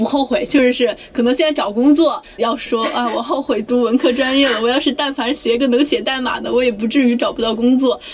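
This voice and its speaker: Against noticeable background noise, a woman with a high pitch speaks at a fairly quick pace, with hardly any pauses and fairly even intonation. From Anhui, China. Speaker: job-seeking graduate. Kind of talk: casual chat.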